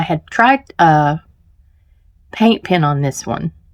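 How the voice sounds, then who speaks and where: This woman has a fairly low pitch and speaks with a slight Southern US accent. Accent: slight Southern drawl. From US South, Charlotte, North Carolina. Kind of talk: tutorial. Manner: casual, hesitant with fillers.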